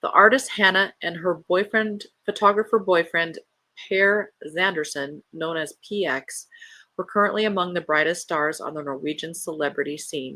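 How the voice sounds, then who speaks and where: A woman's fairly low voice, calm and soothing in tone, at a moderate pace with ordinary pitch variation. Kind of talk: bedtime story read-aloud of a novel chapter. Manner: calm, soothing, gentle reading; plain reading without dramatic character voices.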